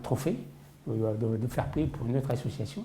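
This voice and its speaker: A man's voice at a medium pitch. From Paris region, France. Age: 60s. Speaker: football collector. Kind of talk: interview testimony. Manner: hesitant, many fillers.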